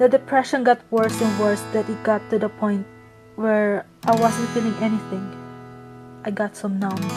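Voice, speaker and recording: A woman with long, frequent pauses and music in the background. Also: moderate pace. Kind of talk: personal story narration.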